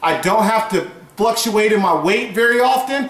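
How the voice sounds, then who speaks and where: There is audible room echo around this man's voice. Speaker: fitness blogger. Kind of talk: casual vlog advice. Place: home room. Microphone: camera far.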